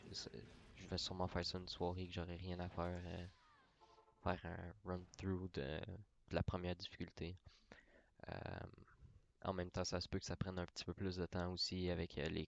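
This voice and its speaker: A man speaks at a moderate pace with a Quebec accent, his pitch very deep and low. His intonation is flat and monotone, broken by long, frequent pauses. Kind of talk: casual talk about gaming channel. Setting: mic very close to mouth.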